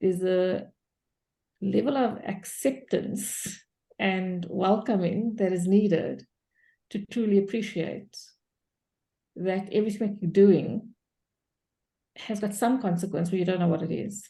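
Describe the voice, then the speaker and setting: A woman speaks at medium pitch in a dark, mellow tone that is somewhat breathy, with fairly even intonation. Her pace is fairly slow, with long, frequent pauses. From South Africa, Cape Town. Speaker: coach in training session. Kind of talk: group discussion on video call.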